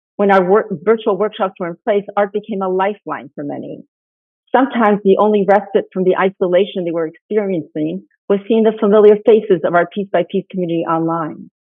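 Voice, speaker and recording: Delivery moves at a fairly quick pace. Intonation remains fairly even throughout. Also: woman, medium pitch for a woman. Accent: Spanish. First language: Spanish. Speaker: nonprofit founder. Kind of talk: conference presentation. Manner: formal.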